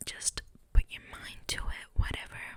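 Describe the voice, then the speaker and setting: The voice is a whisper moving at a fairly slow pace. Noticeable background noise accompanies it. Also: woman. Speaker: ASMR creator. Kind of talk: ASMR whispered storytelling to camera. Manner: close-mic whispering, chatty.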